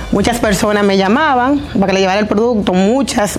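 The speech moves at a fairly quick pace with music in the background and audible room echo. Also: woman. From Dominican Republic. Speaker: entrepreneur, hair product business owner. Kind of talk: interview. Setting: her salon.

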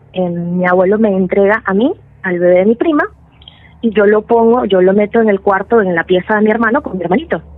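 A woman with a Venezuelan accent at a medium pitch, ordinary pitch variation, and a fairly quick pace, amid noticeable background noise. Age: 30s. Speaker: storyteller sharing paranormal experience. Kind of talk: personal testimony.

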